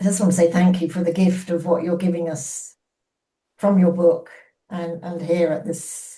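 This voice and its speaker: The voice is somewhat breathy, with a dark, mellow tone, monotone, flat intonation and a moderate pace. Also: woman. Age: 80s+. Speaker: book group participant. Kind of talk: casual chat. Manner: halting.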